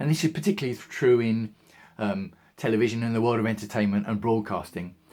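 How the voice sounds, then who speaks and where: Talking at a very fast pace, a man speaks with an English accent and a medium pitch. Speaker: video blogger. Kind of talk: casual monologue.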